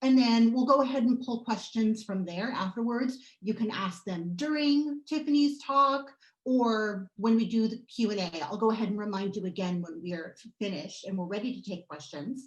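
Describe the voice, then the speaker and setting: A woman talks at a moderate pace in a normal speaking voice, her pitch fairly high. Her intonation is lively, and she hardly pauses at all. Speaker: moderator. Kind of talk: event host introduction.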